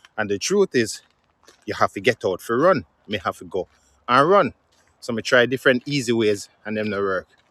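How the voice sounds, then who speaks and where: A man at a medium pitch speaks at a moderate pace with lively intonation, a bright, sharp tone, big swings in loudness and long, frequent pauses, in a dry, close sound with no echo. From Jamaica. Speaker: musician. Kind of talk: casual vlog talk to camera.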